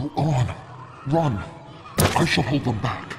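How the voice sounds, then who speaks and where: Using a medium-pitched put-on character voice, a man speaks at a fairly slow pace with clear background noise. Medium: video game. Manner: theatrical, grandiose.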